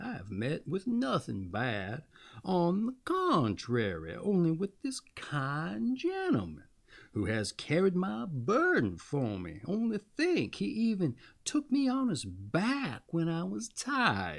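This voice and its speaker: Fairly slow delivery in a put-on character voice. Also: man, fairly high pitch for a man. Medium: read story. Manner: mocking, sly.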